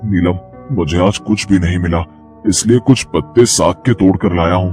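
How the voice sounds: A man's cartoonish character voice with a very deep, low pitch, at a moderate pace, over clear music in the background.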